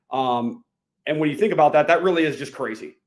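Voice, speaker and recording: A man talks with a fairly high pitch. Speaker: hemp industry expert. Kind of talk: interview. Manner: fast.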